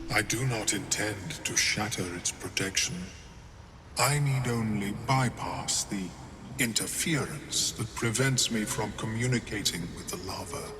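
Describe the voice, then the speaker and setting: A man puts on a character voice at a moderate pace, with clear background noise behind him. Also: medium pitch for a man. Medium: video game. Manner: formal, precise, unhurried.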